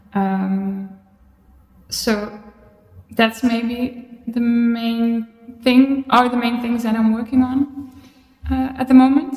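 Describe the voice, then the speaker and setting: A woman with a Dutch accent speaks very slowly in a fairly high, monotone, flat voice. There is audible room echo against a quiet background. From Netherlands. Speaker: visual artist. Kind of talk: interview. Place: studio. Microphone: camera far.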